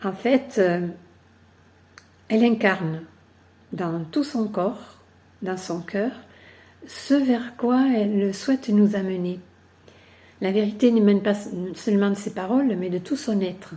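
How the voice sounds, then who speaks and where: Her pace is very slow. A woman pauses often and at length. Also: medium pitch for a woman, ordinary pitch variation. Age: 70s. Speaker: workshop participant. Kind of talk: testimony. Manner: hesitant, with frequent fillers.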